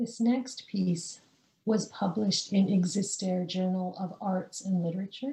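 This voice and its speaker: Delivered in an ordinary speaking voice with a Canadian accent, the speech moves at a fairly slow pace with ordinary pitch variation. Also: woman, medium pitch for a woman. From British Columbia, Canada (born rural India). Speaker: poet. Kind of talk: casual interview chat; poetry reading of her own confessional free verse. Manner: slow, measured, deliberate pacing with weighted pauses between images; quiet, intimate and restrained.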